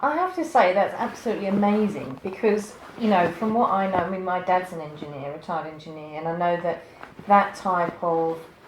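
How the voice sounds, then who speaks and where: Noticeable background noise and audible room echo surround a woman who talks at a fairly quick pace. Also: medium pitch for a woman, ordinary pitch variation. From UK. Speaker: interviewer and coach. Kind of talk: interview.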